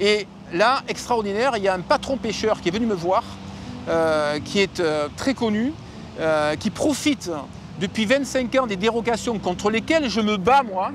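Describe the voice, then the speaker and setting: Noticeable background noise sits under a man whose high-pitched voice moves at a fairly slow pace with lively intonation. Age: 60s. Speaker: environmental activist. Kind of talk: testimony.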